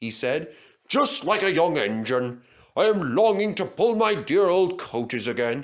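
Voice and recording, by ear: A passage is being read aloud in a natural voice.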